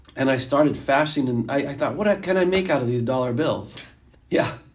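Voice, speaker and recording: Audible room echo around a man's fairly high voice, its pitch shifting a normal amount. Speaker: podcast host. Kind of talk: casual chat.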